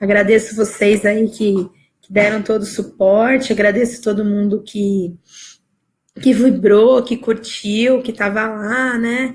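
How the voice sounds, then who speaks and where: Very slowly and in a flat monotone, a woman speaks at a fairly high pitch with a somewhat breathy sound. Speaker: life coach. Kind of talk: live stream talk. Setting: live video stream.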